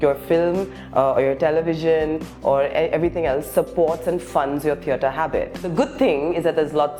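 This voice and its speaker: Over music in the background, the speaker talks at a fairly quick pace with fairly even intonation. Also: woman. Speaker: actor and stand-up comedian. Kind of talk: interview answer.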